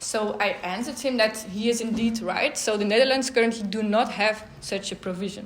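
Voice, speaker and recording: A woman with a fairly high pitch speaks at a moderate pace with fairly even intonation, amid audible room echo and noticeable background noise. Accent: non-native. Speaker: law researcher. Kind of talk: conference talk. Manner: hesitant with fillers.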